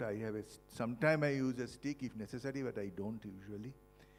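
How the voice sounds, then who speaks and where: Music plays in the background as a man talks at a fairly quick pace with a medium-pitched voice. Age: 70s. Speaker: professor and Parkinson's patient. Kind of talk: testimony. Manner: halting.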